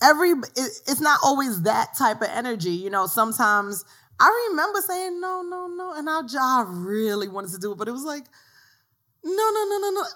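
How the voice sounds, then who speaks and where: A woman with a New York accent speaks in a raised, projected voice at a high pitch, her bright, sharp tone jumping through very wide pitch swings and big shifts in loudness at a fairly quick pace. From New York City, South Bronx. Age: 30s. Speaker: author and blogger. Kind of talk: casual chat.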